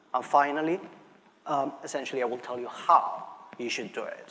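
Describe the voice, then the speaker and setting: Moderately paced speech from a man with a Barcelona accent, noticeable background noise behind him. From Spain, Barcelona. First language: Spanish. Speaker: market research analyst. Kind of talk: conference presentation. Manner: frequent fillers and restarts.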